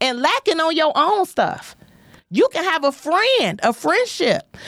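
With an American accent and an animated tone, a woman speaks at a moderate pace with very wide pitch swings, in a dry, close sound with no echo. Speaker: comedian and podcast host. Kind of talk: casual chat. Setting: studio livestream.

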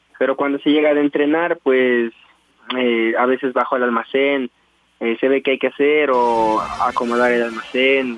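This man talks at a moderate pace in a monotone, flat intonation. His loudness stays very even, and the sound is dry and close with no echo. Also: medium pitch for a man. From Ecuador, Tulcán, Carchi province. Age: 20s. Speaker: professional cyclist. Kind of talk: radio interview.

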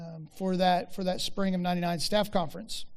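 Audible room echo surrounds this man's voice. He speaks with an American accent at a high pitch. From rural Oklahoma. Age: 40s. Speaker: ranch ministry worker and speaker. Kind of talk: chapel talk. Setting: university chapel with audience. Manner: hesitant, many fillers.

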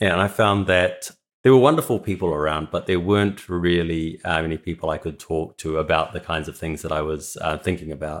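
A man's very deep, low voice with a New Zealand accent, fairly quick with hardly any pauses and fairly even intonation. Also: very clean recording, silent background. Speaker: philosophy PhD student. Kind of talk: interview.

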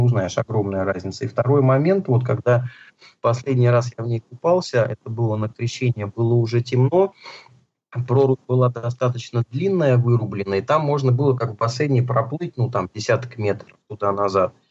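A moderate pace, somewhat breathy delivery and ordinary pitch variation. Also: man. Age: 40s. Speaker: healthy-eating author and food entrepreneur. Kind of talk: interview.

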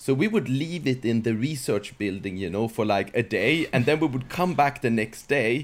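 A man with a Swedish accent and ordinary pitch variation. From Sweden. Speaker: software company founder. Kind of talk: casual interview.

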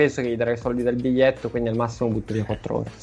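The man's pitch sits in the medium range. Behind him, music plays. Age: 30s. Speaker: podcast co-host. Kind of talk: casual chat.

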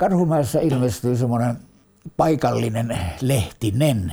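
A man's somewhat breathy voice, dark and mellow in tone, at a medium pitch with lively intonation. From Helsinki, Finland. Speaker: war veteran. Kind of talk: oral history interview. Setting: at home. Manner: halting.

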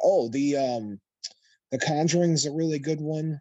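A man with an American accent has a dark, mellow tone at a moderate pace. The background is quiet. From Chicago, US. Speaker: paranormal podcast host. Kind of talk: casual chat.

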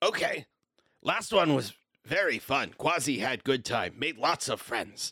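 The pace runs fairly slow. It is delivered in a put-on character voice. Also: man, fairly high pitch for a man. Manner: excited, cheerful.

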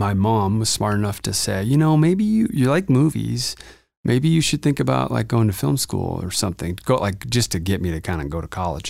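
A man with an American accent and a fairly low voice speaks fairly quickly, his pitch swinging very widely, on a very clean recording with a silent background. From Montana. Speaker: film and commercial producer, production company owner. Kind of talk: casual interview chat. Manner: casual with frequent fillers.

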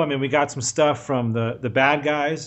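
A man speaks with a voice that sits fairly high in pitch. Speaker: podcast co-host. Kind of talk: casual chat. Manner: animated, joking.

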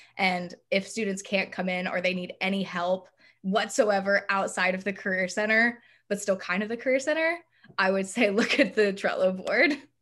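A woman speaks at a moderate pace with medium pitch and ordinary pitch variation. It is an ordinary speaking voice. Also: very clean recording, silent background. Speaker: student peer career educator. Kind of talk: casual chat.

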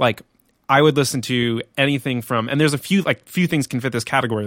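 A man with an unremarkable speaking voice talks at a fairly quick pace. The recording is very clean with a silent background, and the sound is dry and close with no echo. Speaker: creative professional working on location for clients. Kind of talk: casual chat. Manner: casual, rambling, with many fillers.

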